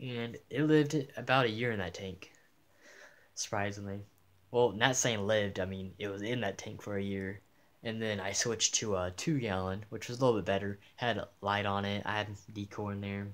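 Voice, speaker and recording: This man talks at a moderate pace in a fairly low pitch with fairly even intonation, an ordinary speaking voice on a very clean recording with a silent background. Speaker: aquarium hobbyist youtuber. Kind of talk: tutorial. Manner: casual, filler-heavy.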